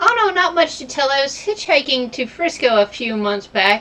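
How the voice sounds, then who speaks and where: A woman puts on a breathy character voice, high-pitched with very wide pitch swings. She speaks at a moderate pace. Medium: game stream. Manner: giggly, airy.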